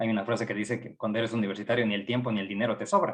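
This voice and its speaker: A man is speaking. He has an Ecuadorian accent. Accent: Ecuadorian Spanish, noticeable. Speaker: psychology professor. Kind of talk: lecture.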